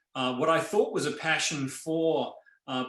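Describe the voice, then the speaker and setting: With an Australian accent, a man uses fairly even intonation amid audible room echo. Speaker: nonprofit chief scientific officer. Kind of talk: online town hall presentation.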